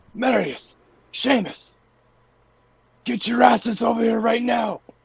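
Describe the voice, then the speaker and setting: This man uses a put-on character voice, raspy and extremely high pitched. He goes at a fairly slow pace with fairly even intonation. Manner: commanding.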